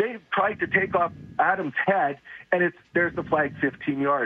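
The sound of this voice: A man's hoarse, strained voice, angry in tone, fairly high in pitch, with a slightly husky edge, at a moderate pace. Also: ordinary pitch variation.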